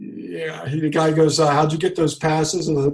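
A man with an American accent, fairly high in pitch, an ordinary speaking voice. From US South, Jacksonville, Florida. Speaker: coffee roaster business owner. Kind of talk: interview conversation.

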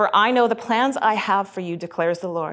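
An unremarkable speaking voice from a woman with a Canadian accent, medium pitch, ordinary pitch variation and a moderate pace. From western Canada (Alberta, then Fraser Valley, BC). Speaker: children's pastor. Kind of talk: sermon.

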